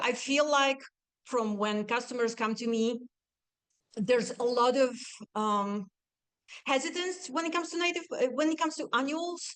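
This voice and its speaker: Her voice high-pitched and her intonation lively, a woman talks at a moderate pace with long, frequent pauses. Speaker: nursery owner and garden designer. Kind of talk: presentation. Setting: talk to a live audience.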